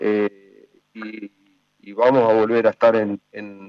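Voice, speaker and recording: The sound is dry and close with no echo as a man speaks. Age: 60s. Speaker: motorsport executive and former racing driver. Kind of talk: interview. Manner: hesitant, many fillers.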